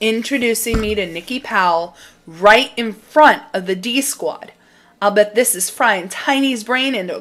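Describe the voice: The clip is plain reading aloud.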